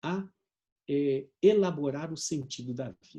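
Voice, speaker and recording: A man's plain, everyday voice, with lively intonation at a fairly slow pace. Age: 60s. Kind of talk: conference talk. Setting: video conference.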